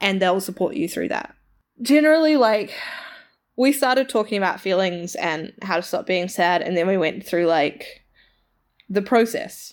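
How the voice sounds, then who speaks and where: On a very clean recording with a silent background, a woman with a New Zealand accent speaks at medium pitch and a moderate pace, her intonation lively and broken by long, frequent pauses. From New Zealand, Tauranga. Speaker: podcast co-host. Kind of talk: casual chat.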